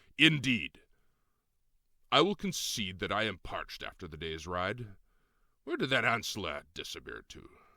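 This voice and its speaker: Using a put-on character voice, a man projects at a fairly low pitch and a moderate pace. He takes long, frequent pauses on a very clean recording with a silent background. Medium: read story. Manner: formal, archaic.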